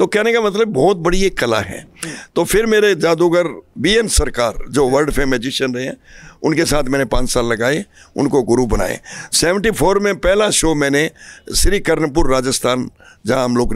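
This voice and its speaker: In a dry sound with no echo, a man speaks at a fairly slow pace and a fairly high pitch, his voice making very wide pitch swings. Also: quiet background. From Haryana, Sirsa district; Haryana. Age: 70s. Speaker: stage magician. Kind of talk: interview. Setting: festival grounds. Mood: cheerful, storytelling. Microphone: handheld.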